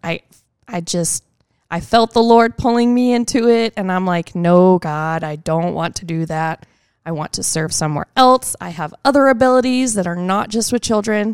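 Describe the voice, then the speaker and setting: A woman with an American accent and an ordinary speaking voice, medium pitch, lively intonation and a moderate pace, in a dry, close sound with no echo. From Texas. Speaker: children's ministry volunteer. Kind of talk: casual interview.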